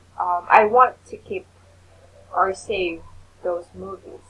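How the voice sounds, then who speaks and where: A woman's very slow speech, fairly low in pitch, with ordinary pitch variation. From Philippines. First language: not English. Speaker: online English tutor. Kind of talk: casual chat. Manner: halting.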